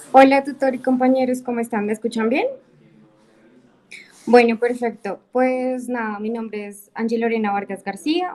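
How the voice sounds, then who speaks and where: A woman speaks at a moderate pace in an unremarkable speaking voice. Her pitch is fairly high, with ordinary variation. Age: 20s. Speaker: university student. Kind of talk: class introduction in video session.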